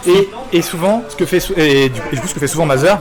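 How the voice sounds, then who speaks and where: With music in the background, a man with a fairly high pitch talks at a fairly quick pace and with lively intonation. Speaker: esports commentator. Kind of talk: live commentary. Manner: fast; animated.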